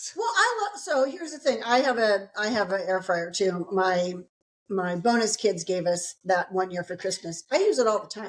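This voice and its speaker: A woman with an American accent, medium pitch, ordinary pitch variation, moderate pace and big swings in loudness. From US South. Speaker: podcast co-host. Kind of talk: casual chat.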